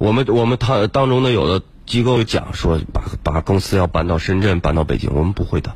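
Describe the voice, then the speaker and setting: The voice moves at a fairly quick pace with hardly any pauses and lively intonation. Loudness stays very even over noticeable background noise. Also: man, fairly low pitch for a man. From Harbin, northeast China. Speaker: tech company founder. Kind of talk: radio interview. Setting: radio studio.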